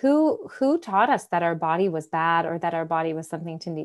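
This is a normal speaking voice at a fairly quick pace with ordinary pitch variation, on a very clean recording with a silent background. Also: woman. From US Midwest, Michigan. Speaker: dating and embodiment coach. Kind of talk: casual interview.

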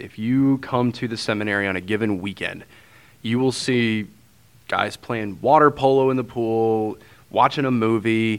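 The speaker has a St. Louis accent. Pitch varies in an ordinary way. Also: man. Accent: St. Louis Midwestern American. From St. Louis, Missouri. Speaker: transitional deacon. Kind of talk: interview conversation.

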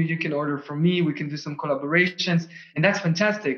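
Fairly quick speech from a high-pitched man with fairly even intonation, over noticeable background noise. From Israel. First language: Russian and Hebrew. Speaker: ecommerce founder. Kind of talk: interview.

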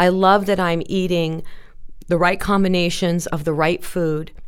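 A woman talks at a fairly slow pace in a fairly low pitch. Audible room echo is present. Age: 50s. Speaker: realtor. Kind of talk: interview. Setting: studio.

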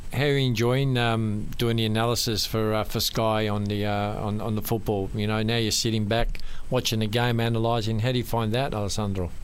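Over noticeable background noise, a man talks at a medium pitch with hardly any pauses, keeping his loudness very even and his intonation monotone and flat. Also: fairly quick pace. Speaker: radio host. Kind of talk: radio interview.

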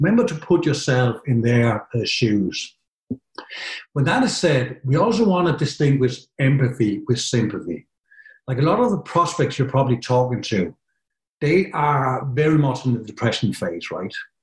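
A somewhat breathy man with a Danish accent, medium in pitch, at a moderate pace. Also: lively intonation. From Denmark. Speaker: software company partner manager. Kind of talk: webinar presentation.

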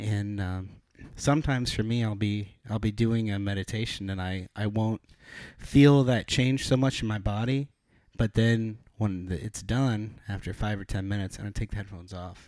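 Fairly even intonation carries speech at a moderate pace with an American accent. The recording is very clean, with a silent background. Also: man, fairly low pitch for a man. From Ithaca, New York. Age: 20s. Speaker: drummer. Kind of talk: casual chat. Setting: studio.

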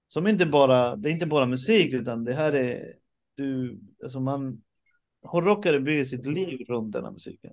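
At a moderate pace, a man with an unremarkable speaking voice and medium pitch talks with lively intonation and big swings in loudness. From Uruguay and Stockholm, Sweden. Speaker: rock drummer. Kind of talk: interview. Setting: video call.

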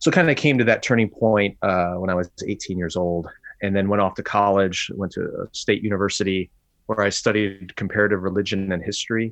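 Against a quiet background, a man in a normal speaking voice talks fairly quickly with a fairly low pitch and fairly even intonation. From US Midwest, Chicago suburbs. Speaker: pastor and author. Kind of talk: interview.

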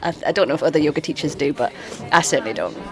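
A woman talks with ordinary pitch variation. Noticeable background noise runs behind her. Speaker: yoga studio owner. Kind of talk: casual interview chat.

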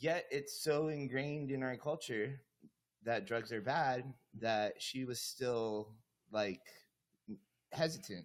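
Speaking very slowly, a man leaves long, frequent pauses. His medium pitch shows ordinary variation. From US, Cuban-American family. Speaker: podcast host. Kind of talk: casual chat.

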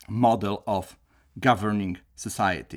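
A man with a Polish accent is heard on a very clean recording with a silent background. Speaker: professor. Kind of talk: lecture. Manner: formal.

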